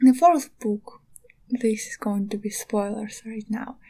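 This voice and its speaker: This woman's voice is somewhat breathy, with a dark, mellow tone, a fairly high pitch and fairly even intonation. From eastern Ukraine. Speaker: podcaster and artist. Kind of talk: casual monologue. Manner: halting.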